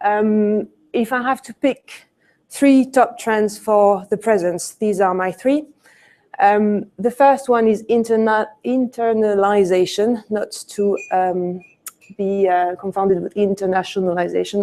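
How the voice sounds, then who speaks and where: A woman with a French accent speaks at a fairly slow pace in a medium pitch, her tone dark and mellow and her intonation fairly even. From France. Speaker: conference speaker, retail consultant. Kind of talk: conference presentation. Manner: many hesitations (um, uh).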